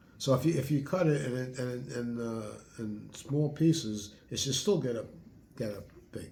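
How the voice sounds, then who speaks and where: Somewhat breathy and dark and mellow in tone, a man speaks at a medium pitch and a moderate pace with ordinary pitch variation and audible room echo. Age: 70s. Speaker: retired home cook, host's father. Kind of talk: casual chat, taste testing. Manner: halting, repeats words.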